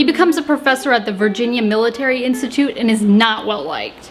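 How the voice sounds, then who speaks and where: A woman with an American accent, high-pitched and lively in intonation, at a fairly quick pace, with music in the background. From US South. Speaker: history and cooking video creator. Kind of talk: casual storytelling narration. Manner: casual, joking.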